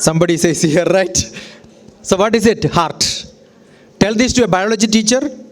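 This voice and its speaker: Over noticeable background noise, a man with a high voice speaks at a moderate pace with very even loudness, ordinary pitch variation, and long, frequent pauses. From Kerala, India. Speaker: educator and speaker. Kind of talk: lecture. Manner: animated.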